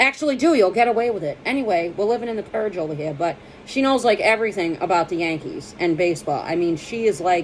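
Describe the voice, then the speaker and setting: Speaking very fast with hardly any pauses, a woman with an American accent uses lively intonation. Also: medium pitch for a woman. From Boston. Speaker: comedian. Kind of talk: casual monologue to camera. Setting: at home. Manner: jumpy, energetic.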